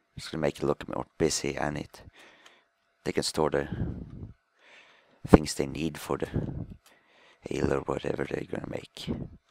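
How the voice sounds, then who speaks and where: Very deep and low in pitch, a man talks at a moderate pace in a flat monotone with vocal fry and long, frequent pauses. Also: dry, close sound with no echo. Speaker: gaming commentator. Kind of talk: gameplay commentary. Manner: halting, self-correcting. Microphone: microphone faulty, bad commentary audio.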